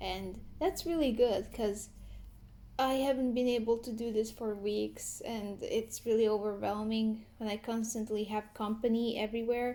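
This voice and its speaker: A woman with a non-native accent speaks at a fairly high pitch, her tone dark and mellow and her intonation fairly even. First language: not English. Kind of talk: commentary talk to camera. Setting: at home. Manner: slow, hesitant.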